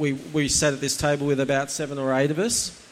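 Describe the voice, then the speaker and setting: The speaker has an Australian accent. The intonation stays monotone and flat. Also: man. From Australia, Central Coast NSW. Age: 40s. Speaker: church attendee sharing testimony. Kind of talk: testimony. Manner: halting.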